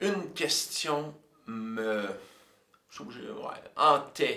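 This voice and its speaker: With lively intonation, a man's voice carries an audible room echo. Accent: Quebec. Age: 60s. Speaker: composer and music teacher. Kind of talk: personal storytelling monologue. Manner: hesitant, many fillers.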